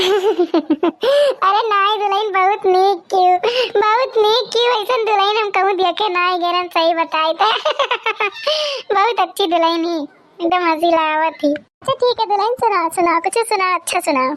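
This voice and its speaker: A woman's cartoonish character voice at an extremely high pitch, moderate in pace, with ordinary pitch variation. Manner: homely, motherly, chatty.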